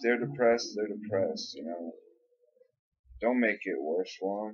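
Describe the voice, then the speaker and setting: An unremarkable speaking voice moves at a moderate pace, its pitch varying in an ordinary way while its loudness swings widely. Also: man, fairly low pitch for a man. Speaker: vlogger. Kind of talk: casual monologue vlog.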